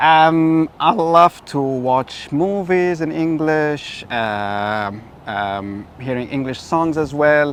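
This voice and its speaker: A man speaks with an Arabic accent. His pitch shows ordinary variation. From Egypt. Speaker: tour guide. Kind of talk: interview. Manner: many filler sounds.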